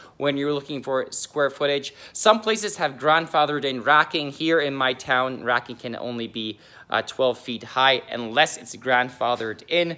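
Speaking with hardly any pauses, a man uses a bright, sharp tone with ordinary pitch variation. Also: moderate pace. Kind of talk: casual vlog chat. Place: factory. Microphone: phone near.

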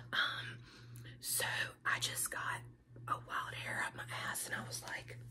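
A woman whispers. Her pace is fairly slow. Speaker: ASMR creator. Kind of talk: ASMR snack tasting, soft spoken. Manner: soft-spoken. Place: home room. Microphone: phone near.

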